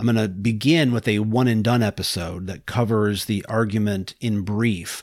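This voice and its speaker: A man with a plain, everyday voice: fairly low pitch, fairly even intonation, moderate pace. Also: very clean recording, silent background. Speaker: podcast host. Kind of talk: lecture-style monologue on philosophical argument. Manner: formal, explanatory.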